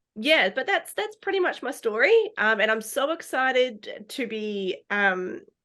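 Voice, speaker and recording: A woman's high, raised, projected voice at a fairly slow pace, with very wide pitch swings. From New Zealand, Christchurch. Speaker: dog therapy trainer. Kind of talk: podcast interview. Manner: hesitant, many filler ums.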